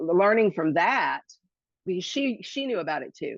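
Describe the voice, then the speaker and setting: This woman's voice carries vocal fry. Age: 60s. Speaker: hula hoop instructor and podcast guest. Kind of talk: casual interview chat. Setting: podcast interview. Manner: animated.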